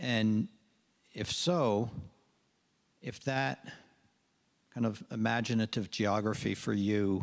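Against a quiet background, a man talks very slowly. His voice is fairly low with ordinary pitch variation. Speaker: audience member. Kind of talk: audience question. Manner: halting. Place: hall.

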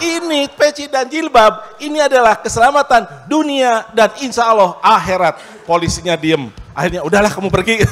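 Pitch swings very widely as the speaker keeps a moderate pace with hardly any pauses. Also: man, high pitch for a man. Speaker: university dean and lecturer; lecturer. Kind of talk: panel discussion at a forum. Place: stage. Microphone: handheld.

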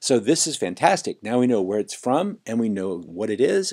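Dark, mellow tone from a man, set against a quiet background. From Los Angeles. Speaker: online course instructor. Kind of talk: screencast tutorial. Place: home room.

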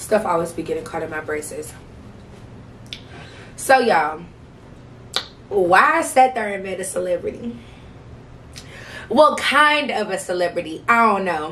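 A woman speaks at a moderate pace with long, frequent pauses, very wide pitch swings and big swings in loudness. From St. Louis, Missouri. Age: 20s. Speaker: vlogger. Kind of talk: casual talk to camera. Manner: chatty, casual. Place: home room. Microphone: camera far.

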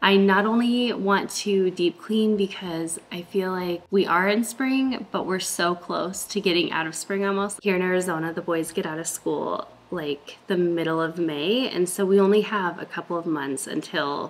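A woman speaks at a moderate pace with hardly any pauses and ordinary pitch variation. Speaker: home vlogger. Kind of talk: casual vlog chat. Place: kitchen. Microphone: camera far.

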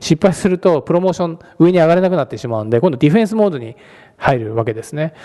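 A very fast-talking man with a fairly high pitch, very wide pitch swings and a dark, mellow tone, against a quiet background. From Japan. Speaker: venture capitalist; guest. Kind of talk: lecture. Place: hall.

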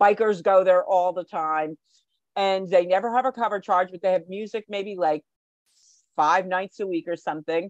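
With a New Jersey accent, a woman speaks in fairly even intonation over a quiet background. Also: moderate pace, dry sound with no echo. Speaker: guest. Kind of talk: casual chat. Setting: video call. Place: home room. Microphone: video call.

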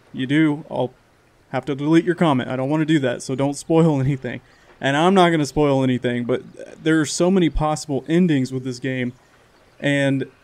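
Ordinary pitch variation marks a man talking at a fairly quick pace. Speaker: gaming channel host. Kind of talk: casual let's play intro.

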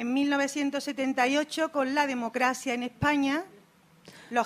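Her pitch is high and her pace very slow. The woman's intonation stays fairly even. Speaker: Roma rights activist. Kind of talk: conference talk. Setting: stage with audience. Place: hall.

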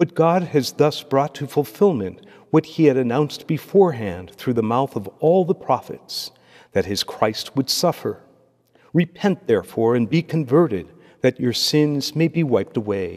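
Against a quiet background, a man with a fairly high pitch speaks at a moderate pace. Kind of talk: liturgy and homily. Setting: church. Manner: formal. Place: church. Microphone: podium.

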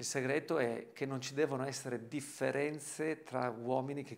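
Over light background noise, a man talks at a moderate pace with fairly even intonation. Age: 50s. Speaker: desert explorer. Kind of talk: interview testimony. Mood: warm, admiring. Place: home room.

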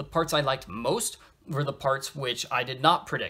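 Bright and sharp in tone, a male voice moving at a moderate pace. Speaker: episode reviewer. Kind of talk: casual vlog review commentary. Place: home room. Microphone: phone near.

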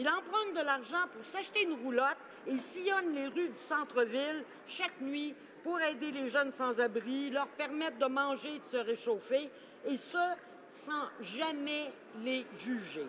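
A woman's high-pitched voice at a fairly slow pace, over light background noise. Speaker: member of parliament. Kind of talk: parliamentary statement, tribute speech. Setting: House of Commons chamber. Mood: solemn, respectful. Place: hall.

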